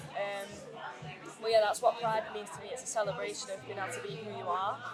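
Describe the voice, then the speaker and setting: Speaking at a very fast pace in a Mancunian accent, this voice shows ordinary pitch variation and big swings in loudness, with music in the background and audible room echo. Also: woman, fairly high pitch for a woman. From Greater Manchester, England. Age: 30s. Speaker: singer-songwriter. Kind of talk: interview.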